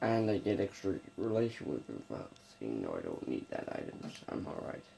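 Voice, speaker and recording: Soft-spoken and at a fairly quick pace, a man talks over noticeable background noise. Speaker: gaming youtuber. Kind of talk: gameplay commentary. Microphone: may be too quiet.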